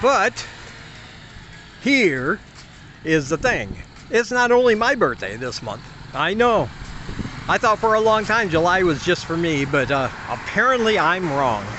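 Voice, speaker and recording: A man at a high pitch with very wide pitch swings, speaking fairly slowly with long, frequent pauses over noticeable background noise. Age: 50s. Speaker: expat vlogger. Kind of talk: casual vlog talk.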